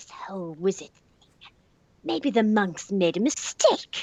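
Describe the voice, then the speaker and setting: A woman does a put-on character voice at a medium pitch. Her pace is fairly slow. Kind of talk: comic impression. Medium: game stream.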